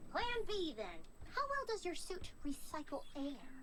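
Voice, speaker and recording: Amid loud background noise, a put-on character voice at an extremely high pitch goes at a moderate pace. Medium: machinima. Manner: bubbly, chatty.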